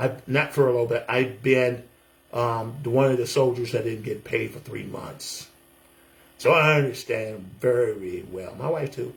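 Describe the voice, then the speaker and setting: With an American accent, a man speaks at a medium pitch in a somewhat breathy voice. His pitch varies in an ordinary way. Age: 60s. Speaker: military veteran and pastor. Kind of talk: casual testimonial video monologue. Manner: animated.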